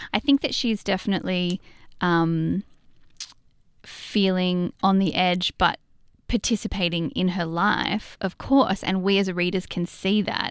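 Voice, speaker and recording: With an Australian accent, a woman speaks at a fairly slow pace and medium pitch with ordinary pitch variation, on a very clean recording with a silent background. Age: 30s. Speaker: novelist. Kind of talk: interview. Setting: studio.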